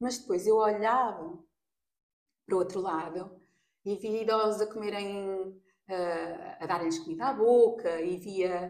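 A woman in a European Portuguese accent, at a fairly slow pace. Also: medium pitch for a woman, fairly even intonation. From Portugal. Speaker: makeup artist. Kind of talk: casual interview. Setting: in person, face to face.

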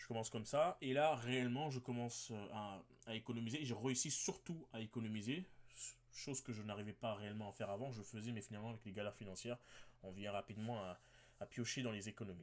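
Talking very fast, a man of medium pitch shows ordinary pitch variation. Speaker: podcast host. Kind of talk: solo podcast monologue.

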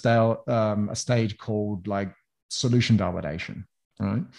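A man with an American accent speaks in a somewhat breathy voice with a dark, mellow tone. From New Zealand. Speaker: sales consultant. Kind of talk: interview.

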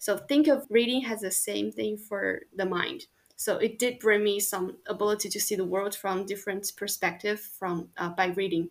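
A woman speaks with a Chinese accent at a medium pitch. She barely pauses at all. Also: ordinary pitch variation, moderate pace. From China, Chongqing. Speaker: university student. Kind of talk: casual interview.

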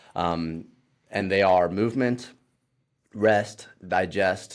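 A man's fairly low voice with a Midwestern US accent and fairly even intonation, in a very clean recording with a silent background. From Ohio. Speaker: fitness trainer. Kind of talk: casual chat.

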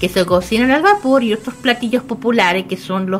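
This woman speaks with a Chilean accent. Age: 20s. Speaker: radio co-host. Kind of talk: casual radio chat.

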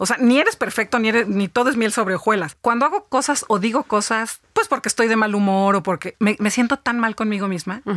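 At a fairly quick pace with hardly any pauses, a woman with a normal speaking voice talks at a fairly high pitch, with ordinary pitch variation, very even loudness and a dry, close sound with no echo. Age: 50s. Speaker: business executive and author. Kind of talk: interview.

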